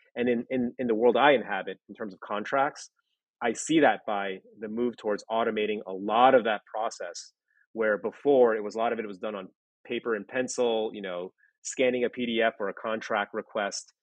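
A man with an ordinary speaking voice talks at a moderate pace and medium pitch. His intonation is fairly even, while his loudness swings widely. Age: 30s. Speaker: former lawyer working in legal technology. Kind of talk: interview.

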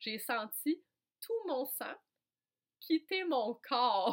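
In a Quebec accent, a woman talks in an animated tone with very wide pitch swings. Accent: Québécois French. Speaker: podcast host and coach. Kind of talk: personal storytelling monologue. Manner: animated, frequent hesitations.

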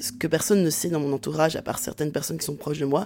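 On a very clean recording with a silent background, a woman speaks with a dark, mellow tone and a very deep, low pitch. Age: 40s. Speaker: sociology professor. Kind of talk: interview testimony.

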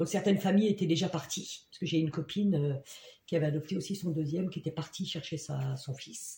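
A woman talks at a very fast pace, somewhat breathy, with a fairly low pitch. Her tone is dark and mellow, her intonation fairly even. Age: 50s. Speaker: job integration counselor. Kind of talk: casual interview.

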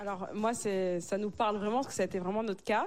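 A woman speaks at a medium pitch. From Africa. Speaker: married churchgoer sharing dating story. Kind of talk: casual panel discussion.

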